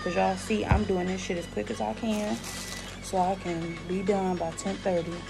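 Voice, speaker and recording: A woman speaks at a fairly quick pace with clear music in the background. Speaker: parent vlogger. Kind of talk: casual vlog chat. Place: home room. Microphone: phone near.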